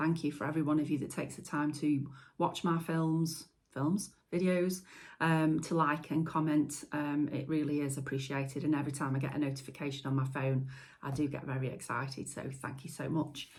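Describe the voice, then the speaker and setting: A woman talks at a fairly quick pace in a Staffordshire accent, her pitch very deep and low. Her intonation is monotone and flat, and the room echo is audible. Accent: Stoke-on-Trent. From Stoke-on-Trent, England. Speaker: potter and video maker. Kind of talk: casual vlog talk to camera. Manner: hesitant, many fillers.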